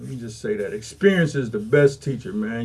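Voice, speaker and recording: Somewhat breathy and fairly high, a man's voice moves at a fairly quick pace. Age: 60s. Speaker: formerly incarcerated community mentor. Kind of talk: casual podcast conversation. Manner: repetitive, halting restarts.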